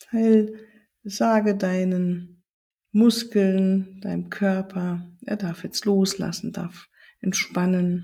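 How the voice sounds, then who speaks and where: A woman's somewhat breathy voice, medium in pitch, with a soothing, calm tone, a dark, mellow tone, fairly even intonation, and a very slow pace. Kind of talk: guided meditation. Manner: slow, soft, soothing; calm, gentle, with long pauses.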